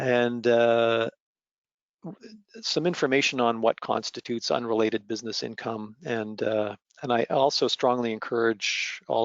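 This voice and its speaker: Medium in pitch, a man's voice moves at a moderate pace with fairly even intonation. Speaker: association treasurer presenting. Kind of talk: webinar presentation. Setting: online webinar. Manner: hesitant, many fillers.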